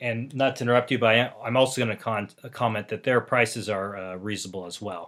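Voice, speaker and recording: On a very clean recording with a silent background, a man with a medium-pitched voice and an American accent talks very fast, with big swings in loudness but fairly even intonation. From Los Angeles, US. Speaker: podcast co-host. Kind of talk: casual chat.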